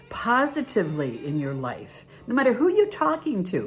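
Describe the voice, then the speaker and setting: Music plays behind a woman speaking. Her pitch swings very widely. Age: 70s. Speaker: devotional author. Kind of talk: casual talk to camera. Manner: chatty, folksy.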